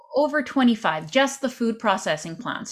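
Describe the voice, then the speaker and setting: Somewhat breathy and with lively intonation, a woman speaks at a moderate pace with a Canadian accent. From Canada. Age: 30s. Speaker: podcaster and political commentator. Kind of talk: casual chat. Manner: animated.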